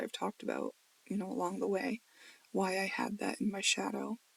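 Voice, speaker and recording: A woman mumbles at a fairly quick pace. The sound is dry and close, with no echo. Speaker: spiritual video blogger, tarot reader. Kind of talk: casual monologue video journal. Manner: mumbling, trailing off words; rambling.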